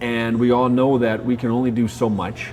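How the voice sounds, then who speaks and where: Music plays in the background. A man of medium pitch talks at a moderate pace. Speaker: marketing consultant and professional speaker. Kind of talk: interview. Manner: halting.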